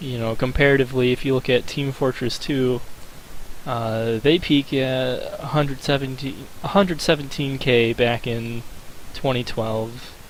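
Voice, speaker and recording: With noticeable background noise, a man speaks at a fairly slow pace in a medium pitch and fairly even intonation. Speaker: gaming video creator. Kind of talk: commentary video. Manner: hesitant with fillers.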